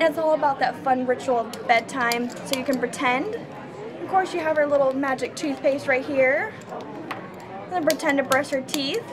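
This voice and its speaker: Over noticeable background noise, a woman speaks at a moderate pace with a high pitch and ordinary pitch variation. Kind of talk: product demonstration. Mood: upbeat, friendly. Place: hall.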